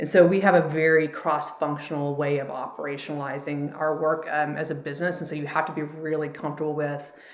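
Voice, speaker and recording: With audible room echo and noticeable background noise, a woman talks at a very fast pace with hardly any pauses. Her pitch is very deep and low, and her intonation is monotone and flat. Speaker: startup founder and CEO. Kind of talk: interview. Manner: direct.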